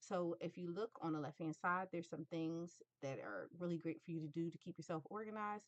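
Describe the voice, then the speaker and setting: A woman's fairly low voice at a fairly quick pace, a normal speaking voice, with a dry, close sound and no echo. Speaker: graphic design tutor. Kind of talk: tutorial.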